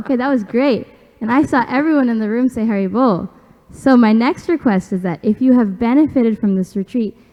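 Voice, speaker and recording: A woman with a normal speaking voice talks fairly quickly at a fairly high pitch, with ordinary pitch variation. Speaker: retreat organizer making announcements. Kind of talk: announcements.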